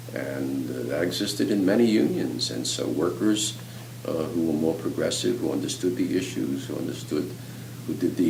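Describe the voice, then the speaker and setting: A man's very deep, low voice at a moderate pace, with very wide pitch swings and noticeable background noise. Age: 80s+. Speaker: professor of social work and gerontology. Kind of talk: interview answer.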